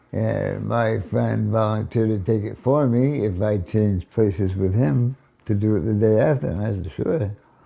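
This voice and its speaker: At a fairly slow pace, a man talks in a fairly low, dark, mellow voice with ordinary pitch variation. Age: 70s. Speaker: war veteran. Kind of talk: interview answer.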